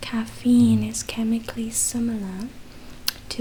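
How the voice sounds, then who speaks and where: Over noticeable background noise, a soft-spoken woman talks in a fairly high pitch. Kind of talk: ASMR book reading. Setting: chewing gum while speaking. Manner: soft-spoken, slow.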